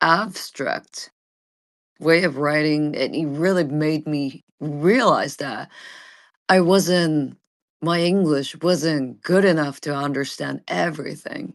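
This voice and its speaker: The speaker talks at a very slow pace with a Japanese accent. The background is quiet. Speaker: vtuber streamer. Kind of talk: casual chat. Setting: live audio space. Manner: halting.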